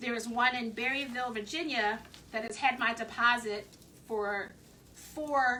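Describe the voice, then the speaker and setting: Her accent is slightly Southern US. The woman talks at a fairly slow pace with fairly high pitch. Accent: slight Southern twang. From Philadelphia. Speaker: craft video host. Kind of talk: live craft tutorial.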